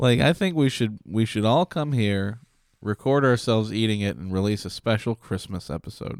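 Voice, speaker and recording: Against a silent background in a very clean recording, a man with a Midwestern US accent speaks at a moderate pace with lively intonation and a fairly low pitch, the sound dry and close with no echo. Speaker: podcast co-host. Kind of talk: casual banter. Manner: joking, laughs often.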